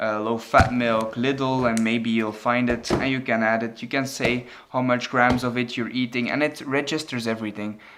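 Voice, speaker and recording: A man speaks at a moderate pace with a medium pitch and hardly any pauses. His intonation stays monotone and flat. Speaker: fitness vlogger. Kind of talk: casual vlog. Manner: halting, many fillers and repeats.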